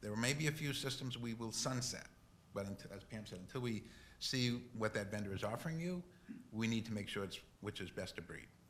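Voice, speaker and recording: A man with a Boston accent at medium pitch, ordinary pitch variation, and a fairly quick pace. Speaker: technology consultant. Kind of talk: board meeting Q&A.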